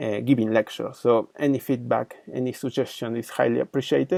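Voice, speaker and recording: A man with a Spanish accent speaks at a moderate pace, the sound dry and close with no echo. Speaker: engineering lecturer. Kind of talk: channel introduction; lecture. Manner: halting, many fillers.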